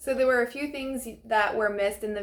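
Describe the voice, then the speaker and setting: A woman's voice with fairly even intonation. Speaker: real estate agent and trainer. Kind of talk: training talk. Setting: at an open house. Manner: fast.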